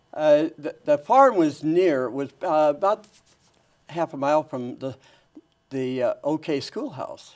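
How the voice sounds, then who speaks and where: Speech comes at a very slow pace with an American accent. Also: man, fairly high pitch for a man, ordinary pitch variation. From northern Idaho, rural. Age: 80s+. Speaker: retired educator and author. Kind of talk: interview. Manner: halting, many restarts.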